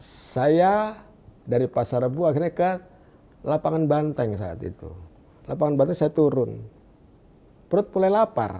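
A man talks at a fairly slow pace with long, frequent pauses. His fairly high voice has very wide pitch swings. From Indonesia, Jakarta (East Jakarta); Jakarta, Indonesia. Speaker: evangelist. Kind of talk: testimony. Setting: studio. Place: studio. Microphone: lapel.

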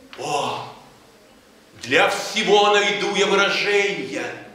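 There is strong room echo around this man's voice. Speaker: poetry reader. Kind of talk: poetry reading. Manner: passionate.

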